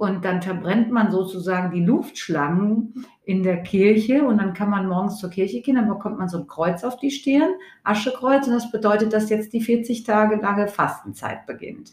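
Somewhat breathy and fairly high-pitched, a woman speaks at a moderate pace with hardly any pauses and ordinary pitch variation. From Hesse, Germany. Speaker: teacher. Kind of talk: school podcast chat.

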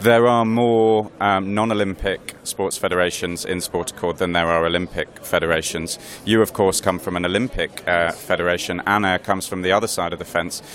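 A man's very deep, low voice at a fairly quick pace, with fairly even intonation, hardly any pauses, and noticeable background noise. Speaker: podcast host and sports editor. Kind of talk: interview. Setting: conference venue.

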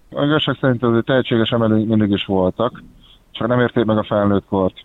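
The man's pitch sits in the medium range. He talks at a fairly quick pace with monotone, flat intonation. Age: 30s. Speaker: olympic weightlifter. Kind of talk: interview. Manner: halting.

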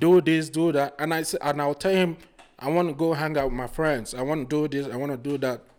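A man with a Nigerian accent speaks at a fairly quick pace. His fairly high pitch stays fairly even in intonation. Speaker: podcast guest, project manager. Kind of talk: casual interview.

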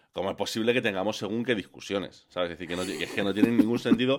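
A man with lively intonation. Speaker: podcaster. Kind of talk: casual chat. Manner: animated.

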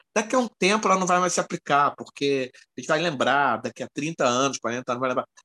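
A man's bright, sharp voice at a fairly quick pace, with very wide pitch swings and a dry, close sound free of echo. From Rio de Janeiro, Brazil. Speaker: podcast co-host. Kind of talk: casual chat.

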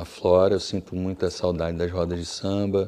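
A man speaks in a monotone, flat way, his very deep, low voice carrying a dark, mellow tone. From Brasília, Brazil. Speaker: musician. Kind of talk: interview. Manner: halting, many fillers.

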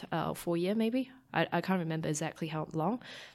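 A woman with a Chinese accent, at a fairly quick pace. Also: very clean recording, silent background. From Taiwan. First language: Mandarin Chinese. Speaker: scientist and startup founder. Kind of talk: casual interview conversation.

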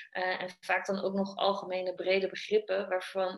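A woman's medium-pitched voice. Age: 30s. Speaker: business coach for trainers and coaches. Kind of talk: interview.

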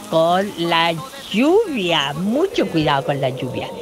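Noticeable background noise surrounds a woman speaking at a fairly slow pace, her pitch swinging very widely. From Chile, Valparaíso. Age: 60s. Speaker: listener sharing childhood memories. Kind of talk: recorded anecdote.

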